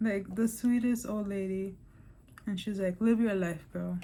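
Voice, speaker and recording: With an American accent, a woman speaks at a moderate pace and medium pitch, her somewhat breathy voice dark and mellow in tone with fairly even intonation. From New York. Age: 30s. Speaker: vlogger. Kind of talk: personal vlog testimony. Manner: casual, filler-heavy (lots of 'like', 'um').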